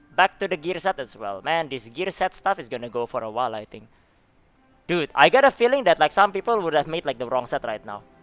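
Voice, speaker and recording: With music in the background, a man with a fairly high voice talks at a very fast pace, with very wide pitch swings and big swings in loudness. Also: dry, close sound with no echo. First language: not English, a language with rolled R. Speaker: gaming streamer. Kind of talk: live stream reaction, reading chat.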